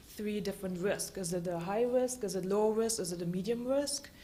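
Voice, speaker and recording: A woman with a German accent at medium pitch, fairly even intonation and a moderate pace, with audible room echo. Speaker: government regulatory scientist. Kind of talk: conference talk.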